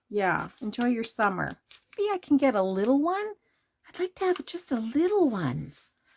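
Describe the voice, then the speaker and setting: A woman's voice swings very widely in pitch. The recording is very clean, with a silent background and a dry, close sound with no echo. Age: 60s. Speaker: junk journal crafter, YouTuber. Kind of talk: casual chat while showing a craft journal. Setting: home basement craft room. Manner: casual, hesitant with many fillers.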